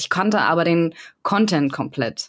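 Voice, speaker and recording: This woman's voice sits very deep and low in pitch, with ordinary pitch variation. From Berlin. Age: 30s. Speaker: video editor and esports team member. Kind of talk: casual chat.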